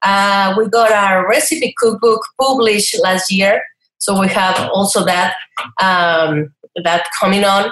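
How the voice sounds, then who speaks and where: Here a woman with a Spanish accent speaks at a very slow pace. Her medium pitch varies in an ordinary way, and her loudness stays very even. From Mexico, Chihuahua. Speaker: online cooking entrepreneur. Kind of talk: interview.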